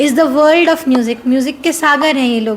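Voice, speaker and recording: A soft-spoken woman talks at a high pitch with ordinary pitch variation. Noticeable background noise runs underneath. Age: 20s. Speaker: singing contestant. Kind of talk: casual interview.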